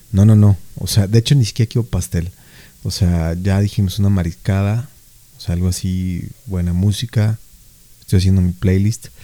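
With a Mexican accent, a man speaks at a moderate pace in a dark, mellow tone, his fairly low pitch carried on fairly even intonation and broken by long, frequent pauses. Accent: Mexican Spanish (Jalisco). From Mexico, Jalisco. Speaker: podcast co-host. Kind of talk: casual chat.

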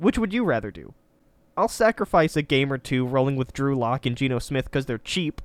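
A man with an ordinary speaking voice, fairly high in pitch with lively intonation, at a fairly quick pace, in a very clean recording with a silent background and a dry, close sound with no echo. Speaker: podcast co-host. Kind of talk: casual chat.

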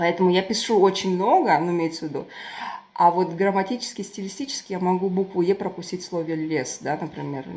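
A woman speaks at a fairly quick pace in a dark, mellow tone. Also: medium pitch for a woman, ordinary pitch variation. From southern Kazakhstan, Turkestan. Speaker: writer and volunteer. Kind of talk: casual chat. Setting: online call.

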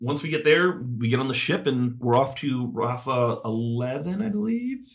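A man's somewhat breathy voice comes through at a fairly slow speed. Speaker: podcast co-host. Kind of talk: casual chat.

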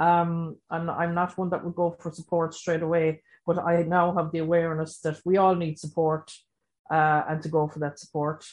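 A woman talks at a moderate pace with monotone, flat intonation. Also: fairly low pitch for a woman. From Ireland. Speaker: recovery education facilitator. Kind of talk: panel discussion.

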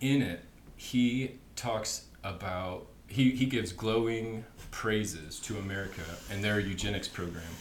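A man with a normal speaking voice talks at a fairly slow pace, his fairly low pitch showing ordinary variation. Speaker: guest explaining history. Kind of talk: casual chat.

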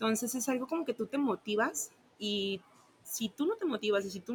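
Speaking in a plain, everyday voice, a woman has a fairly high pitch. She talks at a fairly quick pace. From Tabasco, Mexico. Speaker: sales coordinator. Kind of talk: casual interview.

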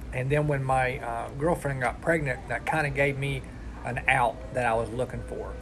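A man with an Appalachian accent talks over music in the background, with audible room echo. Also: moderate pace. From West Virginia. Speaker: recovery peer support specialist. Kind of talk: personal testimony.

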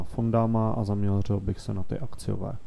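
The voice has a dark, mellow tone. Its intonation stays monotone and flat. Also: man. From Moravia, Beskydy (Rožnov pod Radhoštěm). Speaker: bank investment manager. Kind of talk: interview.

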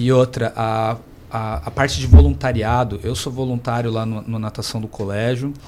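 Noticeable background noise sits under speech that has ordinary pitch variation. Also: man. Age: 20s. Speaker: professional swimmer. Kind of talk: radio panel discussion.

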